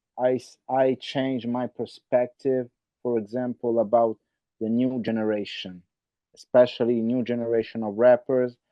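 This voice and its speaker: Speaking in an Italian accent, a man holds a medium pitch in a monotone with flat intonation. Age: 40s. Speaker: rapper. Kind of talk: roundtable discussion. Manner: halting, repetitive.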